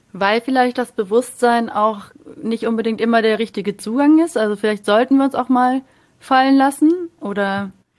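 A woman with a normal speaking voice, a fairly high pitch and ordinary pitch variation talks at a moderate pace. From Munich. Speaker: podcast host. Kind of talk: interview.

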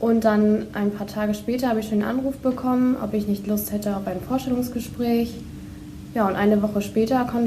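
Her fairly high voice moves at a fairly quick pace with fairly even intonation, and the room echo is audible. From Lower Saxony, Germany (Holdorf). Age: 20s. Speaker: bank apprentice. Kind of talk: podcast interview.

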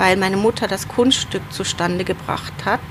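A woman at medium pitch talks at a moderate pace while noticeable background noise carries on. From Germany, Ruhr area (Wanne-Eickel). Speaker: city councillor and literary agent. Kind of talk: interview.

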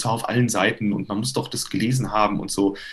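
With ordinary pitch variation, a man talks fairly quickly in a somewhat breathy voice. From Hesse, Germany (Limburg). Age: 30s. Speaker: tenor and voice professor. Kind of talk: interview. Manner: hesitant with fillers.

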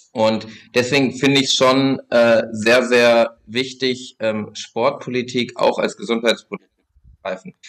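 This is a man with a normal speaking voice and medium pitch. He talks at a fairly slow pace with fairly even intonation. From Lower Saxony, Germany (Braunschweig). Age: 20s. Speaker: sports policy spokesperson for a political party. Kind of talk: podcast interview.

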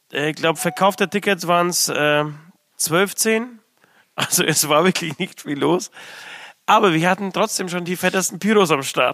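A man with a high pitch and a bright, sharp tone speaks at a moderate pace with ordinary pitch variation and long, frequent pauses. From abroad, came to Germany as a child. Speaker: metal band musician. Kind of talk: casual chat. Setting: studio.

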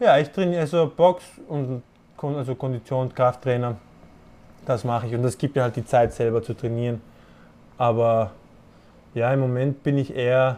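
Delivered at a moderate pace, the speech has ordinary pitch variation and long, frequent pauses. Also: man, medium pitch for a man. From Panama. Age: 20s. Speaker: boxer. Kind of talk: casual interview. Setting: remote call from his apartment. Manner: halting, many fillers and restarts.

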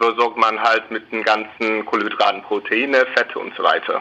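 The speaker has an English accent and a monotone, flat intonation at a moderate pace. Noticeable background noise sits behind the voice. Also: man. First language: English (speaking German). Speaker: company spokesperson. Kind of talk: radio interview.

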